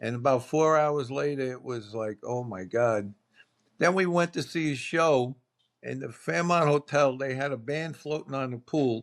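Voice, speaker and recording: On a very clean recording with a silent background, a man with a Brooklyn accent speaks at a medium pitch and moderate pace, with ordinary pitch variation. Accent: New York (Brooklyn). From New York City (Brooklyn). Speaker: podcast guest. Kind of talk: casual chat.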